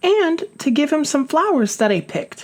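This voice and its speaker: Using a put-on character voice, a man speaks at a moderate pace in a squeaky, extremely high pitch. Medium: read story. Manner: nervous.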